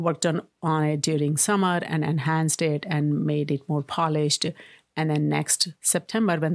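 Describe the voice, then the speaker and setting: With an Indian accent, a woman speaks at a moderate pace in a very deep, low voice, recorded dry and close with no echo on a very clean track with a silent background. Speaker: tech entrepreneur. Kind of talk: interview. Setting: studio.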